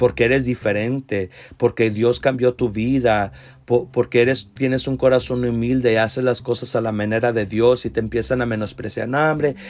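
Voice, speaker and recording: At a moderate pace, a man speaks in a flat monotone at medium pitch, on a very clean recording with a silent background. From US South, Rio Grande Valley, Texas. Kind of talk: Bible teaching monologue.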